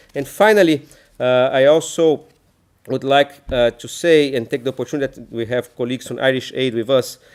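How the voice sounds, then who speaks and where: A man with a Brazilian accent speaks at a fairly quick pace, showing ordinary pitch variation and big swings in loudness. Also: medium pitch for a man. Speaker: NGO leader. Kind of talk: conference presentation. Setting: conference talk with audience. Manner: hesitant with frequent fillers.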